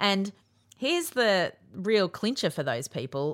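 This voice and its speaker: A woman with an Australian accent in a very clean recording with a silent background. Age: 40s. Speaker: podcast host. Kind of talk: casual chat.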